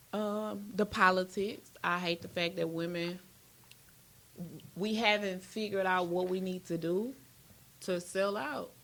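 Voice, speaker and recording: With an American accent, a woman of medium pitch speaks at a fairly slow pace with fairly even intonation and long, frequent pauses. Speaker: battle rapper. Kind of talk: casual chat.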